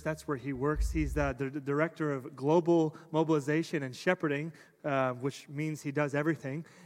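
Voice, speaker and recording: A man with a normal speaking voice, fairly high in pitch, with fairly even intonation at a moderate pace on a very clean recording against a silent background. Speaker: pastor. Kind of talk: introduction of guest speaker. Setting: church.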